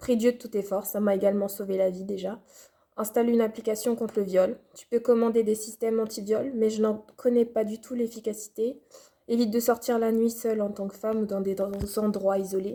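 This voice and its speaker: Her voice fairly high yet dark and mellow, a woman speaks at a fairly quick pace in a monotone, flat intonation with big swings in loudness. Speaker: video blogger. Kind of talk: advice vlog.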